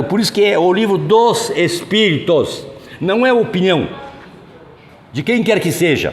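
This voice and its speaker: With audible room echo and noticeable background noise, a man speaks fairly slowly in a high voice with lively intonation. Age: 70s. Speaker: spiritist lecturer. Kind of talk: lecture. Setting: hall with audience, no microphone. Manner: loud, projecting to the room. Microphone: no microphone, room sound.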